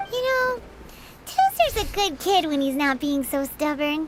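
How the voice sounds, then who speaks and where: A put-on character voice sounds squeaky and high-pitched at a moderate pace. Loud background noise runs underneath. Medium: video game. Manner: chatty, blunt, expressive.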